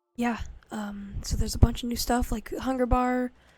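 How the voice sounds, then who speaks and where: A quiet woman's voice, fairly high in pitch yet dark and mellow in tone, moves at a fairly slow pace. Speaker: gaming YouTuber. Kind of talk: gameplay commentary. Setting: home recording late at night. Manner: quiet, close-mic ASMR-style talk; casual, hesitant with fillers.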